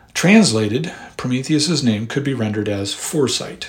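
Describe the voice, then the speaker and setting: Against noticeable background noise, a man with a medium-pitched voice speaks at a moderate pace with lively intonation. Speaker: podcast host and history narrator. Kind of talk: history documentary narration, measured and lecture-like. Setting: studio podcast recording. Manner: formal, measured, scholarly; even-paced and explanatory.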